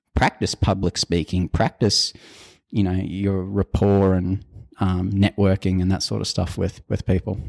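A man's very deep, low voice in an Australian accent, monotone and flat, with a dry, close sound free of echo on a very clean recording against a silent background. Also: fairly slow pace. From North Queensland, Australia. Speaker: civil designer. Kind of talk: interview.

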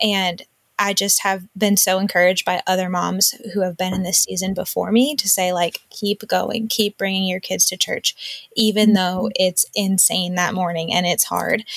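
In a normal speaking voice, a woman talks at a moderate pace and medium pitch with fairly even intonation and hardly any pauses, the sound dry and close with no echo. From US Northeast, Western Massachusetts. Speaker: mom and online community co-founder. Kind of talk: interview.

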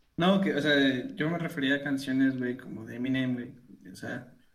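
A man's medium-pitched voice with ordinary pitch variation, set against audible room echo. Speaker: podcast co-host. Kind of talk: casual chat.

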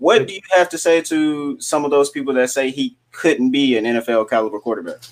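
A man has an ordinary speaking voice with an American accent and a fairly high pitch. He talks at a fairly quick pace with lively intonation. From Arkansas, US South. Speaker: sports podcast co-host. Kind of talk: podcast interview.

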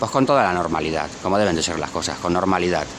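A man talks at a very fast pace. Noticeable background noise and audible room echo are present. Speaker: caller. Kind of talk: casual chat.

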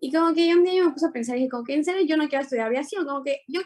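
The woman speaks with lively intonation. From Ecuador. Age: 20s. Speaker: dancer. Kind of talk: interview.

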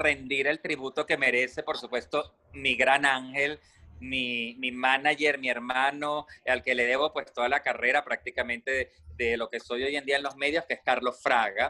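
A man's bright, sharp, medium-pitched voice at a moderate pace, dry and close with no echo. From Venezuela. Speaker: radio host. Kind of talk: casual chat. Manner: animated.

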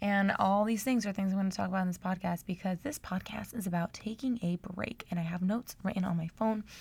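A woman speaks at a fairly quick pace in a somewhat breathy voice, her pitch medium with ordinary variation. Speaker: podcaster and YouTuber, aspiring actor. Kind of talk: casual solo podcast monologue. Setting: recorded at night at home. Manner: casual, chatty, rambling.

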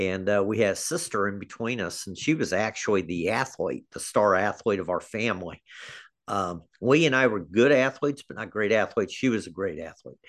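With an American accent, a man talks at a fairly quick pace in a fairly low pitch with lively intonation against a quiet background. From US Midwest (Kansas City area). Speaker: high school athletic director. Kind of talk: interview. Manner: halting, with many fillers.

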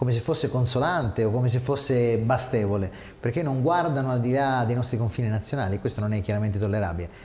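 A man rattles along very fast while noticeable noise fills the background. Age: 30s. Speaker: lawyer and regional election candidate. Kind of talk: interview. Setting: studio.

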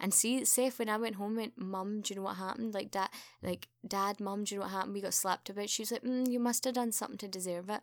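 A woman speaks very fast with a Glaswegian accent, hardly pausing at all. Her pitch is medium and her intonation fairly even. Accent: Glaswegian Scottish. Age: 30s. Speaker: podcast host's sister. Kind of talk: casual chat.

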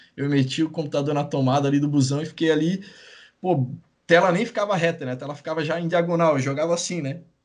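A man's very fast speech, fairly high in pitch, with fairly even intonation. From Itajaí, Santa Catarina, southern Brazil. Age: 30s. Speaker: gaming YouTuber. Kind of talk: interview, casual chat.

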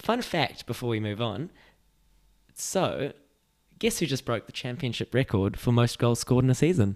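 In a New Zealand accent, a man at a medium pitch talks at a moderate pace with lively intonation and long, frequent pauses on a very clean recording with a silent background. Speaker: podcast host. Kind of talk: casual chat about football and life.

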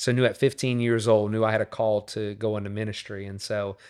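A man with a Louisiana accent speaks at a fairly quick pace in a fairly low pitch. His intonation is monotone and flat, on a very clean recording with a silent background. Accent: Louisiana Southern US. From Louisiana, New Orleans area. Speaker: pastor. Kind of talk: casual chat.

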